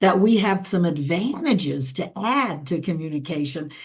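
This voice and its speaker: At a moderate pace, a woman talks in an unremarkable speaking voice of medium pitch. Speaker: interview host. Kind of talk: interview question.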